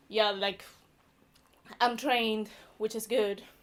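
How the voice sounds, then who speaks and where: On a very clean recording with a silent background, a woman with a Venezuelan accent speaks in a fairly high voice with a bright, sharp tone. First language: Spanish. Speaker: stand-up comedian. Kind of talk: stand-up. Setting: stage with audience.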